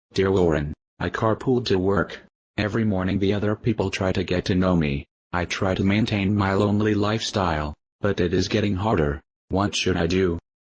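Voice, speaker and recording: Using a put-on character voice, a man speaks at a very deep, low pitch and a fairly quick pace, his loudness very even and the sound dry and close with no echo. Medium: stage play.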